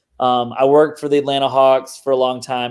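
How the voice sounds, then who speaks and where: He speaks with a slight Southern US accent. His pace is moderate. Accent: mild Southern US. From US South, Mississippi. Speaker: digital marketer and podcast host. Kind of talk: casual interview chat. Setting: video call.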